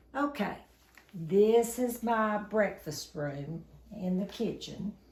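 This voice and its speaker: Very slowly, a woman speaks at medium pitch. Her voice is somewhat breathy, with lively intonation. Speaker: shopping haul vlogger. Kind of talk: casual home video chat.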